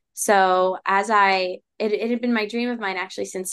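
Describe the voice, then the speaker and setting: An ordinary speaking voice from a woman, fairly slow in pace, with ordinary pitch variation. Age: 20s. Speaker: startup founder. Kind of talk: interview.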